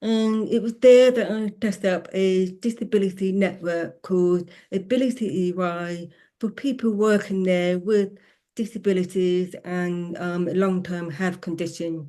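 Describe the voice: Fairly slow and fairly low in pitch, a woman's voice has a dark, mellow tone and fairly even intonation.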